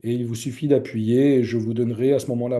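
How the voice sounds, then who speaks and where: Monotone, flat intonation in a man's voice of medium pitch. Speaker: church teacher. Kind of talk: lecture. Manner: hesitant, many fillers.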